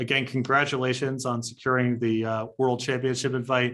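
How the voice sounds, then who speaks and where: On a very clean recording with a silent background, a man with an American accent speaks at a moderate pace in a medium pitch, his intonation monotone and flat and his tone bright and sharp. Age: 40s. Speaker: game designer and interviewer. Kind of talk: interview.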